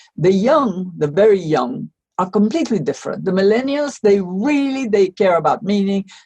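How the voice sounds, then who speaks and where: At a moderate pace, a woman with a medium pitch speaks in a dark, mellow, somewhat breathy tone with lively intonation. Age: 80s+. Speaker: economist and author. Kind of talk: interview.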